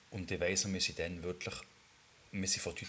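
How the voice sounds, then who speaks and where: Very deep, low male speech against clearly audible background noise. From Switzerland, Bern area (Ostermundigen) and Düdingen. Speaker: podcast co-host. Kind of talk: casual chat.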